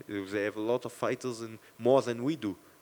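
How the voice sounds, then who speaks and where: Here a man talks with a French accent. His pace is moderate. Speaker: MMA fighter. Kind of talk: post-fight press interview. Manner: halting.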